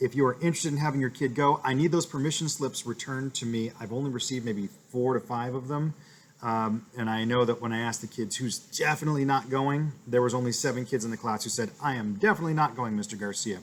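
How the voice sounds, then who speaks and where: This man speaks at a very fast pace. His pitch is medium, with ordinary pitch variation. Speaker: elementary school teacher. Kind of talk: class update video for parents.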